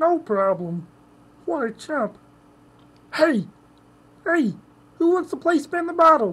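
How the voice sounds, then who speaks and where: A high-pitched, put-on character voice moves at a fairly slow pace. Long, frequent pauses break up the speech. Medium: role play. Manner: nasal, comic.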